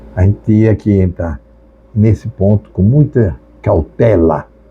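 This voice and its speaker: A man speaks at a very slow pace, his pitch fairly low. Noticeable background noise sits behind him. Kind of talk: sermon.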